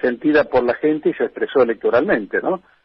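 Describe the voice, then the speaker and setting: In a Rioplatense accent, a man talks at a moderate pace with a high pitch. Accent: Argentine Spanish (rioplatense). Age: 70s. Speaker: politician and former militant. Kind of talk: radio interview.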